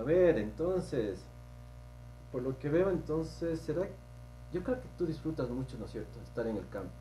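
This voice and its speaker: Light background noise sits behind the recording. A man speaks at a moderate pace. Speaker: podcast host. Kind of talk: interview. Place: office. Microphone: lapel.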